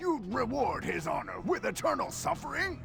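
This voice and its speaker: A man performs a put-on character voice over loud music in the background. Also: moderate pace. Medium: machinima.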